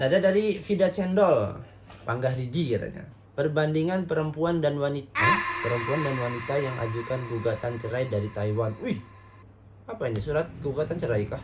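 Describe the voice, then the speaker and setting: A man's fairly high voice with an animated tone and lively intonation, at a fairly quick pace, amid noticeable background noise. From Indonesia, not Javanese. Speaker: reaction video host. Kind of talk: casual commentary on TikTok videos. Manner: animated, conversational.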